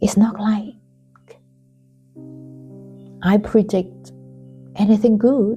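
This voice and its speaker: A soft-spoken woman with a gentle tone and fairly even intonation, very slow with long, frequent pauses, music in the background. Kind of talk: spoken reflection. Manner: gentle, soft-spoken.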